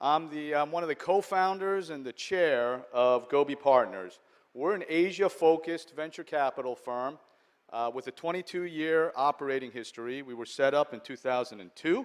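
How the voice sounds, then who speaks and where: A man with an American accent speaks at a moderate pace in an unremarkable speaking voice, his pitch fairly high for a man. His loudness swings widely. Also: ordinary pitch variation. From US, New York (Long Island). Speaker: venture capital investor. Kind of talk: conference speech. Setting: stage with audience.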